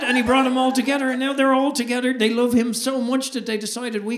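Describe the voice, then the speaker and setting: A man with an Irish accent talks at a very fast pace over noticeable background noise. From Ireland. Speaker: stand-up comedian. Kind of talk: stand-up comedy performance.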